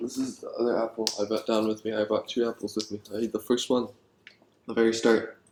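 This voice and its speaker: A man with a medium pitch talks at a fairly quick pace against noticeable background noise. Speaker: board game designer, YouTuber. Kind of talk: solo thinking aloud while designing games. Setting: alone at night. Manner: quiet, not very loud; hesitant, many fillers.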